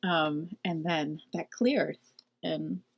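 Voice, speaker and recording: A woman speaks with vocal fry. Her intonation is lively. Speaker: spiritual channeler. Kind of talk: spiritual guidance talk. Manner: halting, many fillers.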